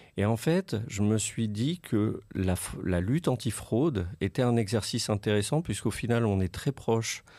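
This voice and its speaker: A man talks at a fairly slow pace in a dark, mellow tone, fairly low in pitch with ordinary pitch variation. The recording is very clean, with a silent background. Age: 40s. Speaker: anti-fraud association director. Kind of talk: interview.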